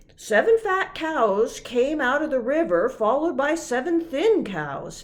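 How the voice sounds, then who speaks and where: A woman's put-on character voice, high-pitched, at a fairly slow pace with very wide pitch swings. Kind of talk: bedtime story. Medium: read story.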